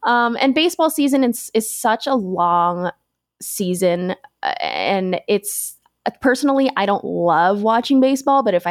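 A woman's voice with an American accent and very wide pitch swings, dry and close with no echo. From US West, Las Vegas. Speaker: sports betting analyst. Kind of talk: casual interview.

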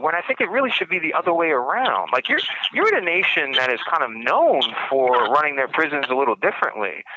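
Someone talks at a fairly quick pace in a New York accent. Noticeable background noise runs underneath. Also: man. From Brooklyn, New York. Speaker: podcast host, writer and prisoner. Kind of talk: interview. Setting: prison phone call.

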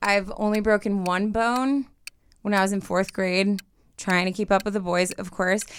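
Recorded very cleanly with a silent background, a woman at medium pitch speaks at a moderate pace with monotone, flat intonation. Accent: American. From Southern California. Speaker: dating show contestant. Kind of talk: casual chat. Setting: studio.

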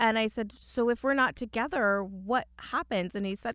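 A plain, everyday voice with ordinary pitch variation moves at a moderate pace in a very clean recording with a silent background and a dry, close sound with no echo. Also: woman. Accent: American. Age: 40s. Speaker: entrepreneur and author. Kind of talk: interview.

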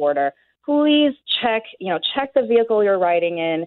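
Using a plain, everyday voice, a woman talks at a fairly quick pace and medium pitch with lively intonation. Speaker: border law expert. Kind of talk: radio interview.

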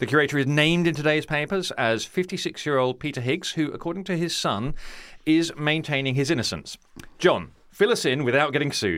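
A man talks at a fairly quick pace in a normal speaking voice, pitched fairly high with ordinary pitch variation. The recording is very clean, with a silent background. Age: 40s. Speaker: podcast host. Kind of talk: scripted narration; casual chat.

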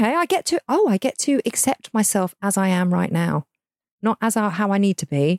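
In a very clean recording with a silent background, a woman with a plain, everyday voice speaks at a fairly quick pace with lively intonation. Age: 40s. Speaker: podcast co-host. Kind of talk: casual chat.

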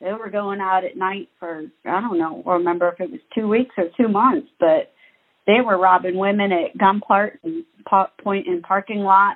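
A woman with an American accent speaks at a moderate pace in a plain, everyday voice, her medium pitch showing ordinary variation. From Ohio. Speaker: friend of a murder victim. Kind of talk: testimony.

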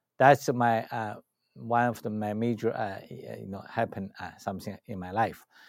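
In a very clean recording with a silent background, a man speaks with a Chinese accent. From China. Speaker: spiritual healer and teacher. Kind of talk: interview. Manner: halting.

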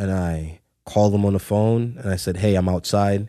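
A dark, mellow tone comes through in a very clean recording with a silent background. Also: man. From Brooklyn, New York, Trinidadian family. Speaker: video producer and director. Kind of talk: casual chat.

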